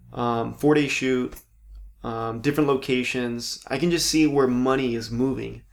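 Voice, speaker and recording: At a moderate pace, a normal speaking voice with an American accent keeps its intonation fairly even. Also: man, medium pitch for a man. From Southern California (Palm Springs). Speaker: actor. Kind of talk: casual chat.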